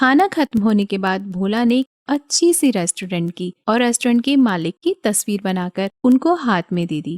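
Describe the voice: On a very clean recording with a silent background and a dry, close sound with no echo, a woman speaks at a medium pitch and a moderate pace, with lively intonation and a slightly mellow tone.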